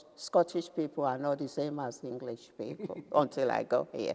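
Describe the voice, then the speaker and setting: A woman speaks with a Nigerian accent and ordinary pitch variation. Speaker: retired businesswoman. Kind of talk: interview answer.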